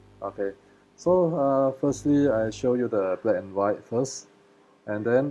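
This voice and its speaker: With a Malaysian accent, a man speaks at a fairly slow pace, his medium pitch showing ordinary variation. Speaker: photographer. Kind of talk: live webinar presentation. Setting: live video stream. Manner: halting, many fillers.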